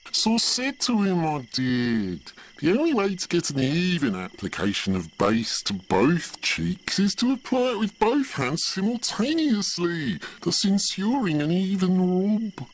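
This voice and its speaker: Putting on a character voice, a man speaks at a high pitch and a moderate pace with hardly any pauses. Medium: read story. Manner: gossipy, camp.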